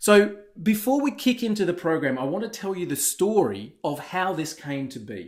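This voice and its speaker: With big swings in loudness and very wide pitch swings, a man speaks at a high pitch. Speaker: webinar presenter selling a software business opportunity. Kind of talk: sales pitch. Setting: online webinar. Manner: fast.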